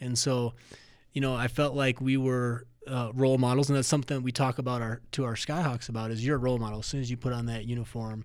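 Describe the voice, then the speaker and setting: A man with an American accent speaks at a very fast pace in a medium pitch, his intonation monotone and flat. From Minnesota. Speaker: college athletic director. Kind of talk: podcast interview.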